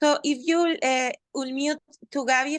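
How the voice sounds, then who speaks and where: A woman with a Spanish accent at a fairly slow pace, in a dry, close sound with no echo over a quiet background. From Mexico. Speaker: sex worker and film director. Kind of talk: question from audience. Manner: halting.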